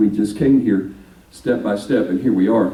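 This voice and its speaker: A man with a Texan accent talks at a fairly quick pace in a fairly low voice. Audible room echo surrounds him. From Texas (Dallas). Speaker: minister. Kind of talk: speech to a local political group.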